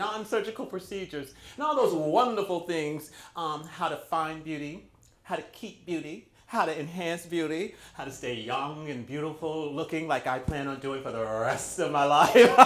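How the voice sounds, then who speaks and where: With lively intonation and an animated tone, a man talks at a moderate pace in a fairly high pitch for a man, with audible echo in the room. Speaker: talk show host and model agency owner. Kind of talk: casual talk show. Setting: recording studio. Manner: loud.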